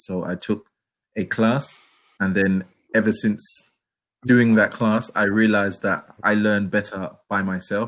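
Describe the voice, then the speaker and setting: At a fairly slow pace with long, frequent pauses, a man speaks at a fairly low pitch in a flat monotone, in a very clean recording with a silent background. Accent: London. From London, England. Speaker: online English tutor. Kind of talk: casual conversation lesson. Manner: halting, many repetitions.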